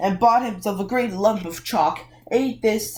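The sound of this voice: We hear an unforced reading voice.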